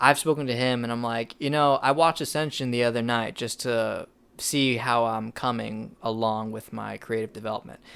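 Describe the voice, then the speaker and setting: Mumbling at a fairly quick pace, a man has a medium pitch, a bright, sharp tone and fairly even intonation, recorded very cleanly against a silent background. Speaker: podcast host and filmmaker. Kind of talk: casual chat.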